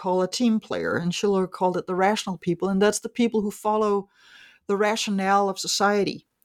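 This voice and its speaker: Speaking at a medium pitch, a woman talks with a Danish accent. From Denmark. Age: 50s. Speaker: economist and author. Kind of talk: interview. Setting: remote call.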